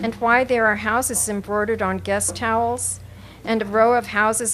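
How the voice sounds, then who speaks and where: In an American accent, a woman with a fairly high pitch speaks at a moderate pace in a flat monotone. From North Carolina. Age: old. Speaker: poet. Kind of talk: poetry reading; casual introduction. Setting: coffee shop with audience. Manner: halting, many fillers.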